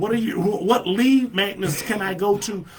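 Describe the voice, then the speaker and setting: A loud, animated man with a high voice at a moderate pace, amid noticeable background noise. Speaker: marketing coach streaming live. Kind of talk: live stream tutorial. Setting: live video stream.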